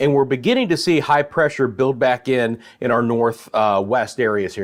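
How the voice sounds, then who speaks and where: A man with an American accent talks in a normal speaking voice at a medium pitch and moderate pace. His pitch varies in an ordinary way, and the background is quiet. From Central Florida. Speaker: meteorologist. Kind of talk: weather forecast livestream. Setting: live stream. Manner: casual, conversational.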